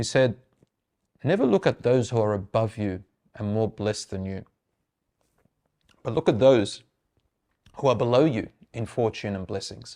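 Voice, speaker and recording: Against a quiet background, a man with a medium pitch and a dark, mellow tone talks at a moderate pace with ordinary pitch variation and long, frequent pauses. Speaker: Islamic speaker giving a reminder lecture. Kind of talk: Islamic lecture / religious reminder. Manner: conversational, casual talk to camera.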